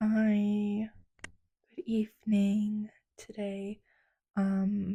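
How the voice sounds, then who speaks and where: A woman speaks at a very slow pace and a medium pitch, somewhat breathy with a dark, mellow tone. Her intonation is monotone and flat. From United States. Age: 20s. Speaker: lifestyle vlogger. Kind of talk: casual vlog narration. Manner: soft-spoken.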